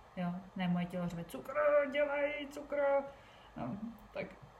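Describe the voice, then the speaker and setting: A woman talks with ordinary pitch variation. Audible room echo and noticeable background noise surround her voice. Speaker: podcast host and entrepreneur. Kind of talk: casual solo podcast talk. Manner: fast.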